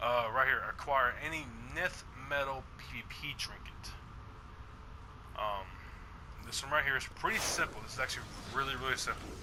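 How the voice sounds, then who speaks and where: This man has a medium-pitched voice with ordinary pitch variation and a moderate pace. He leaves long, frequent pauses, and there is noticeable background noise. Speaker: gaming YouTuber. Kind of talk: gameplay tutorial. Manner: casual, hesitant with many fillers.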